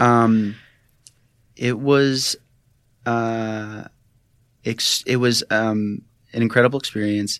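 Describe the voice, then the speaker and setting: On a very clean recording with a silent background, a man speaks at a very slow pace in a monotone, flat intonation with long, frequent pauses. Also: medium pitch for a man. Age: 20s. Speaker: recovering addict and cancer survivor. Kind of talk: personal testimony interview. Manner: halting, many fillers and repetitions.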